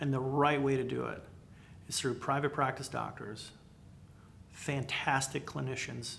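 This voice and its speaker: With audible room echo, a bright, sharp voice talks at a moderate pace. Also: man. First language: not English. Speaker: healthcare business commentator. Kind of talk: unscripted video monologue. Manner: animated.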